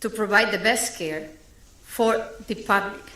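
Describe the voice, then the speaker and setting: A woman at a medium pitch, lively intonation and a very slow pace, with audible room echo and noticeable background noise. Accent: non-native. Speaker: paediatric intensive care consultant. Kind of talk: public consultation Q&A. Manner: halting, many fillers.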